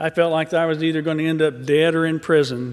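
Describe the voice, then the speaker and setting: A man with a Southern US accent at a fairly high pitch and moderate pace. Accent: Southern US accent, noticeable. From Arkansas. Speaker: mental health advocate. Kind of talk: rally speech. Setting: stage at a rally.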